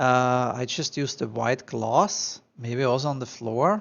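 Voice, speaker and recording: The speaker has a strong Austrian accent. The pace is very slow. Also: man. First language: German. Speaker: architectural visualization tutor. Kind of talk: tutorial. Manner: animated.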